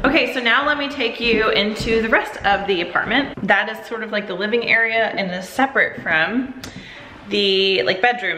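Audible room echo and light background noise surround a woman speaking at a moderate pace with ordinary pitch variation. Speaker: vlogger. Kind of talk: casual vlog chat. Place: kitchen. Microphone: phone near.

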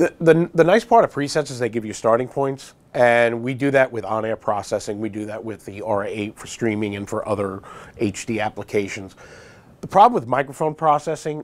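Ordinary pitch variation runs through a man's moderately paced speech. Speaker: guest. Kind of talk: interview answer. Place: studio.

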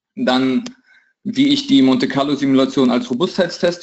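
Delivered at a moderate pace, the voice makes very wide pitch swings. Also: man. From Russia, St. Petersburg. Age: 20s. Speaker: trading educator. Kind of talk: tutorial. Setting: video call.

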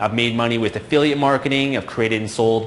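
Light noise hums behind a man whose pitch moves in an ordinary way. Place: office.

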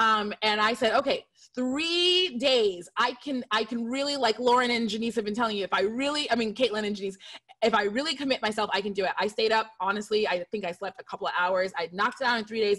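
A woman speaks at a fairly quick pace with a fairly high pitch. Her pitch varies in an ordinary way, and the background is quiet. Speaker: screenwriter on a panel. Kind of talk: panel discussion personal story. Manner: fast talker. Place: home room. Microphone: studio mic.

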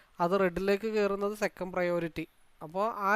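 A man's high voice carries fairly even intonation. The recording is very clean, with a silent background. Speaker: stock market analyst and trading mentor. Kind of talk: market analysis tutorial.

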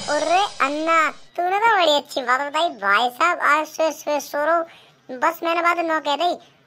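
Putting on a squeaky character voice, a man speaks at an extremely high pitch. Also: moderate pace. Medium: comedy sketch. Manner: loud, rustic Haryanvi-style banter.

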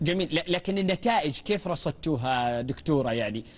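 A man's voice makes very wide pitch swings. He keeps a moderate pace. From Saudi Arabia. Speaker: TV talk show host. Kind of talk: TV news magazine interview. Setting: studio. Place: studio. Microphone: lapel.

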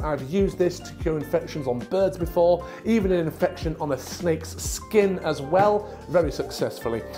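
Over clear music in the background, a man talks at a moderate pace. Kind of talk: tutorial. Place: home room. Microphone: lapel.

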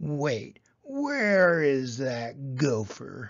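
A growling, put-on character voice sits at a low-to-middle pitch. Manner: snarling.

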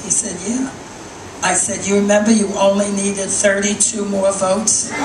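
A woman speaks at a moderate pace with monotone, flat intonation over noticeable background noise. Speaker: stand-up comedian. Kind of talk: stand-up comedy set.

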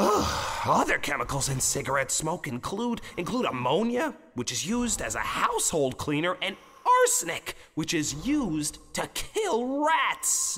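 This is a man doing a cartoonish character voice, pitched high. He speaks at a fairly slow pace. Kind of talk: educational character dialogue. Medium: puppet show. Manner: emphatic, lecturing. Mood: lecturing.

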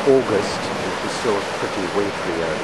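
Loud background noise sits behind a man's speech. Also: dry sound with no echo. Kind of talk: casual travel narration. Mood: relaxed, calm. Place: beach. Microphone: phone near.

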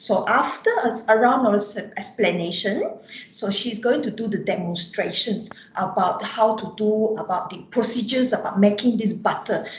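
At a moderate pace, a woman speaks in a fairly high voice with fairly even intonation, and room echo is audible. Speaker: biology lecturer. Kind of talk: online workshop introduction. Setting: video call. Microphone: video call.

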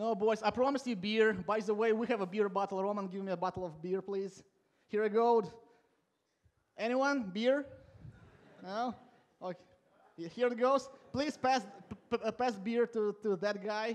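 Speaking at a high pitch, a man keeps a moderate pace with ordinary pitch variation. He leaves long, frequent pauses. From Latvia. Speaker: conference speaker, software coach. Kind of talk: conference talk. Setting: stage with audience. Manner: informal, humorous, self-deprecating. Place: hall. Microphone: headset.

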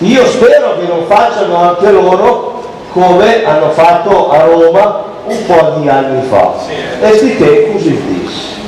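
A man talks at a very slow pace over noticeable background noise, with audible room echo. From Oleggio, Piedmont, Italy. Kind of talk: comic monologue on stage at a dialect evening. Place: stage.

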